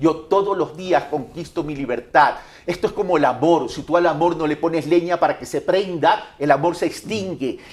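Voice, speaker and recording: A man's high-pitched voice at a moderate pace, with noticeable background noise. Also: ordinary pitch variation. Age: 60s. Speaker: presidential candidate. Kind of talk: interview.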